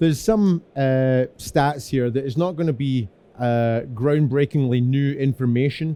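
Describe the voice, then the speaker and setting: This man has a dark, mellow tone at a medium pitch. His pitch varies in an ordinary way. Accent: Scottish. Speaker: security engineer. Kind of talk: conference presentation. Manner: fast.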